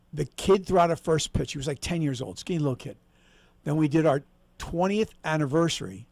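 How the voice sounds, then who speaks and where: Speaking in a normal speaking voice, a man sits at fairly high pitch. His pace is fairly quick, with ordinary pitch variation. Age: 60s. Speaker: former stadium announcer. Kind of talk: casual chat.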